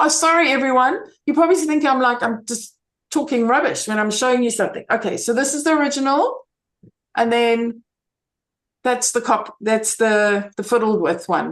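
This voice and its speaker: The woman's voice is high, with lively intonation. She speaks at a moderate pace over a quiet background. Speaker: camera club member presenting photo editing. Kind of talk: online club workshop, casual presentation. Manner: hesitant, many fillers. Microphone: video call.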